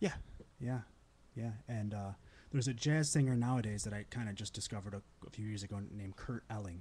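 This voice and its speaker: Talking very fast yet with long, frequent pauses, a man uses a fairly low pitch, a dark, mellow tone, ordinary pitch variation and a somewhat breathy quality. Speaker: singer. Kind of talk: casual chat. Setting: studio. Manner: calm.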